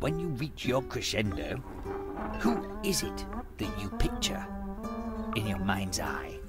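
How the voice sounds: With clear music behind him, a man performs a cartoonish character voice, fairly low in pitch, slow, and swinging very widely up and down.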